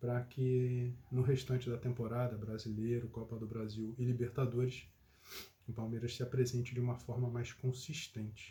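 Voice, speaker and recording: A man's flat, monotone delivery comes at a medium tempo. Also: medium pitch for a man. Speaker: football commentator. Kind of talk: casual chat.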